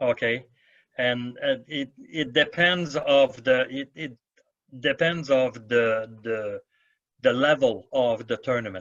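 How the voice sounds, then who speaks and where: Speaking very slowly, a man uses a medium pitch with ordinary variation. He talks in a French accent. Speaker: badminton referee. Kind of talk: Q&A answers at an officials' seminar.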